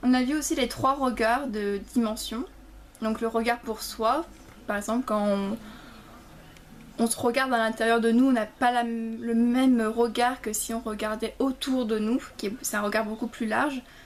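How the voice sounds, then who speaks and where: At a fairly slow pace, a woman speaks in a fairly high pitch with fairly even intonation. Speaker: theatre student vlogger. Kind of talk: casual vlog recap. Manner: halting, many fillers and repetitions.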